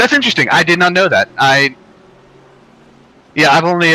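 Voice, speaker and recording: With an American accent and ordinary pitch variation, a man talks against noticeable background noise. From North Carolina, US. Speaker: sim racing streamer. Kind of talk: casual chat during sim race stream. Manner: hesitant with many fillers.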